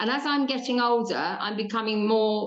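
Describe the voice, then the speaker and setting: A woman is speaking. She has an English accent. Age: 60s. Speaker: podcast host. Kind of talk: interview.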